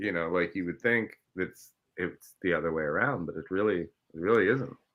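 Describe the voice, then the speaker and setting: Speaking with ordinary pitch variation, a man keeps a moderate pace in a very deep, low pitch. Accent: Midwestern. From Ohio, US Midwest. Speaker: filmmaker and TV host. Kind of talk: casual chat.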